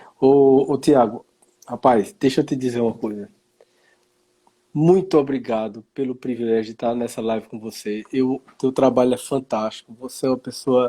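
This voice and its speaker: A man's medium-pitched voice, dark and mellow in tone, with ordinary pitch variation and long, frequent pauses. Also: moderate pace, dry, close sound with no echo. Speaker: live stream host, professor. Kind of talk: live stream conversation. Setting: online live stream.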